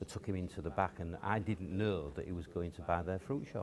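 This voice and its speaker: Speaking fairly quickly with a Yorkshire accent, a man has a very deep, low pitch, a dark, mellow tone and ordinary pitch variation. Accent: Yorkshire (Hull) English. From Hull, East Yorkshire. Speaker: businessman. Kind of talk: interview. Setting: stage with audience.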